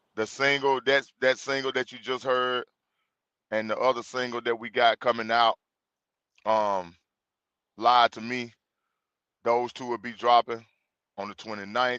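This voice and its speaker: With an American accent and a medium pitch, a man talks at a fairly slow pace in a bright, sharp, monotone voice, leaving long, frequent pauses and swinging widely in loudness, the sound dry and close with no echo against a quiet background. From Mississippi. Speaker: religious group host. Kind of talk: livestream introduction. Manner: casual, informal.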